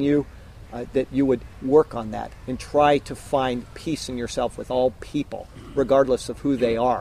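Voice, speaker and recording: Dark and mellow in tone, a man's medium-pitched voice moves at a moderate pace. His intonation is monotone and flat. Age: 40s. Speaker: preacher. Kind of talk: sermon. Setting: outdoors.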